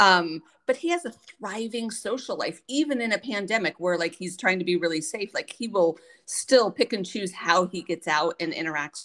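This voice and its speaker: With a normal speaking voice, a woman talks at a medium pitch and a moderate pace, her intonation lively, in a very clean recording with a silent background. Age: 50s. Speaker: podcast host. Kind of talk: casual interview.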